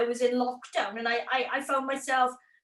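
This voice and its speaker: This woman speaks with a strong Welsh accent. Her pace is moderate. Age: 20s. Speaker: YouTube creator. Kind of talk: interview. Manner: animated.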